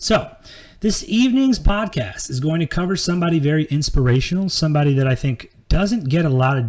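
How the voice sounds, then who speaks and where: A man speaks somewhat breathily, his pitch swinging very widely. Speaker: podcast host. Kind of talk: live podcast monologue. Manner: casual, filler-heavy.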